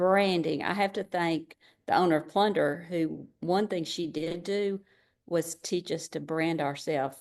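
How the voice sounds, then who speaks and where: In a quiet background, a woman with an ordinary speaking voice talks in a fairly low pitch with fairly even intonation. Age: 60s. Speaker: direct seller, former gifted-education teacher. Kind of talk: interview answer.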